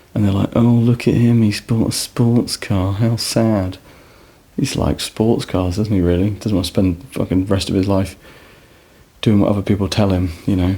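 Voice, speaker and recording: Soft-spoken, a man talks with fairly even intonation and very even loudness. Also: fairly low pitch for a man, moderate pace. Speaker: ASMR vlogger. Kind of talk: casual chat. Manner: calm.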